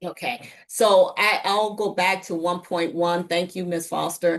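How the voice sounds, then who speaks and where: This woman has a normal speaking voice with fairly low pitch. She talks at a fairly slow pace with fairly even intonation. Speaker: school district finance official. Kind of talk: presentation.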